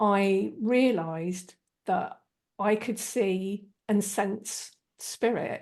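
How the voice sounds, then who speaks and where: A woman speaks with a southern English accent. Her pitch is medium and her pace very slow. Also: fairly even intonation. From southeast England, Kent. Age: 50s. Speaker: energy healer and spiritual channel. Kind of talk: interview. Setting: video call.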